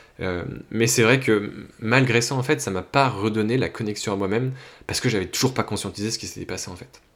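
Big swings in loudness mark a man's fairly quick delivery, with medium pitch and ordinary pitch variation. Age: 30s. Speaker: life coach and podcaster. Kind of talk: solo monologue, personal update. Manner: hesitant, many fillers and restarts.

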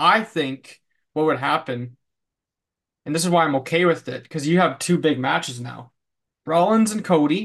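A plain, everyday voice. It moves at a moderate pace against a quiet background. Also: man. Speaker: podcast host. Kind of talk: casual chat about wrestling.

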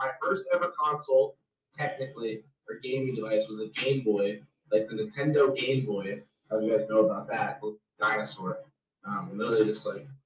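Talking at a fairly quick pace with a New Jersey accent, a man uses lively intonation. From New Jersey, Jersey Shore. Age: 20s. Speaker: streamer and pro wrestler. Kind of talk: casual chat.

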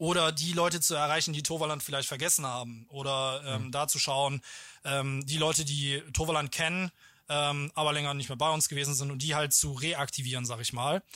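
On a very clean recording with a silent background, a man speaks at a fairly high pitch and moderate pace. His tone is bright and sharp, with fairly even intonation. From German-Dutch border region, Lower Rhine. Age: 20s. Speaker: theme park marketing manager. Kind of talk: casual interview.

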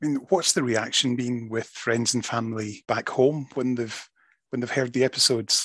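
Against a quiet background, a man with a Scottish accent talks at a moderate pace in a medium pitch, his intonation fairly even. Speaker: magazine web editor and podcast host. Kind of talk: casual interview.

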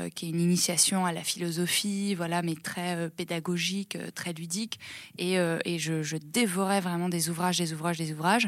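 A woman talks at a moderate pace in a fairly low voice. Her intonation is monotone and flat. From rural France, Seine-et-Marne. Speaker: founder of a training organisation. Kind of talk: interview. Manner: hesitant, many fillers.

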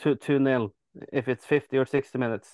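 With a Norwegian accent, a man talks at a moderate pace in a fairly high voice, his intonation fairly even, the sound dry and close with no echo over a quiet background. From Norway, near Oslo. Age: 30s. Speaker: football fan. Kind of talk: casual chat.

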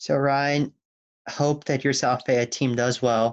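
Here a man talks slowly at medium pitch. His voice shows little pitch movement.

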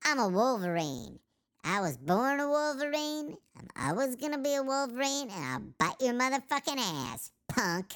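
A squeaky, put-on character voice sits at a fairly high pitch on a very clean recording with a silent background. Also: moderate pace. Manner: angry, aggressive.

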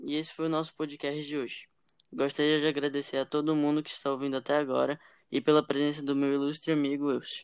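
A very clean recording with a silent background, the words delivered at a very fast pace. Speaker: podcast host. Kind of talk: casual chat.

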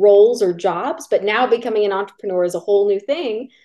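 A normal speaking voice. It moves at a fairly quick pace. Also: woman. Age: 20s. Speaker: podcast host and business coach. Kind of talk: interview.

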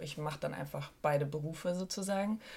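A woman talks at a moderate pace with a somewhat breathy voice and ordinary pitch variation on a very clean recording with a silent background. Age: 30s. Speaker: musician and songwriter. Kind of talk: casual chat.

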